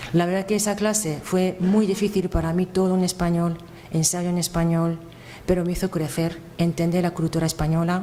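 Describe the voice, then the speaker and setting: A woman talks in a fairly low voice with a Japanese accent, at a moderate pace. Her intonation is monotone and flat, and there is noticeable background noise. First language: Japanese (speaking Spanish). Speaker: event presenter. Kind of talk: speech introducing a lecture. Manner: halting, with hesitations.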